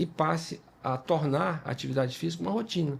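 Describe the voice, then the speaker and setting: Somewhat breathy, this voice moves at a moderate pace with lively intonation. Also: man. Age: 60s. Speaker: dermatologist and podcast host. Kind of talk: podcast conversation. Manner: halting, many fillers and repetitions.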